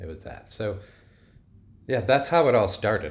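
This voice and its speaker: Somewhat breathy speech from a man in an American accent, fairly quick in pace. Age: 40s. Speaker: plant-based food developer. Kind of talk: interview.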